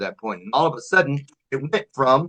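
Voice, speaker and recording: A man's plain, everyday voice at medium pitch, with lively intonation and a fairly quick pace. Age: 60s. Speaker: motivational speaker. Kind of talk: interview.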